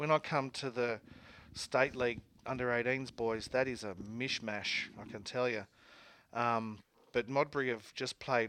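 A man with an Australian accent talks at a fairly slow pace on a very clean recording with a silent background. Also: medium pitch for a man. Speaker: sports radio host. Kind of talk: casual chat. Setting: studio. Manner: animated.

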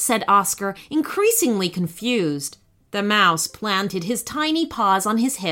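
Delivered in an unforced reading voice, the speech has lively intonation.

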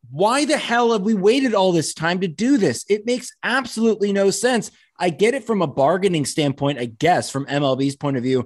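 Over a quiet background, a man talks fairly quickly, his pitch swinging very widely. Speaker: podcast co-host. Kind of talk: casual sports discussion.

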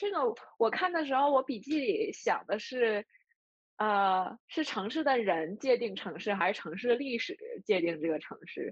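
A woman speaks at a fairly slow pace with a northeastern Chinese accent. Her voice is high-pitched. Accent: Northeastern Mandarin, noticeable. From Northeast China. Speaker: podcast co-host, book discussion. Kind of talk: casual book discussion.

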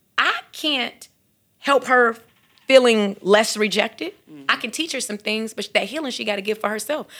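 With an American accent, a woman speaks in an animated, bright, sharp tone at a moderate pace. Her pitch variation is ordinary, while her loudness swings widely. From Chicago, South Side. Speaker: mental health counselor. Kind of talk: podcast interview.

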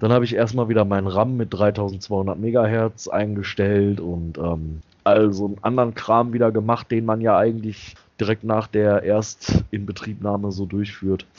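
A man speaks in an unremarkable speaking voice at a fairly low pitch. His pace is moderate and his intonation fairly even. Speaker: podcast host. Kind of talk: casual chat. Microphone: new headset.

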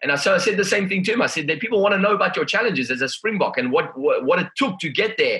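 A man's high, raised and projected voice, very fast with hardly any pauses, lively intonation and noticeable background noise. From South Africa, Durban. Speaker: motivational speaker and trainer. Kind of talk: interview conversation.

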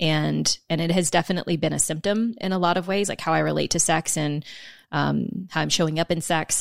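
Recorded very cleanly with a silent background and a dry, close sound with no echo, a woman speaks at a fairly quick pace in a fairly low pitch, with fairly even intonation and vocal fry. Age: 30s. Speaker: podcast host and sex coach. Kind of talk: casual interview.

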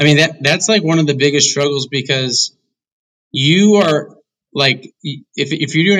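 A man with an American accent, a bright, sharp tone, a fairly high pitch and a moderate pace. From US Midwest (Indiana). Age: 20s. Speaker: venture capital investor. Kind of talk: interview.

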